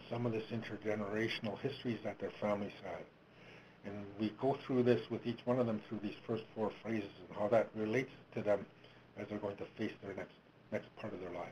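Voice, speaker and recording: Flat and monotone, a man talks at a fairly quick pace. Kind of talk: webinar presentation. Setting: webinar, speaking into a phone. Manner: soft-spoken.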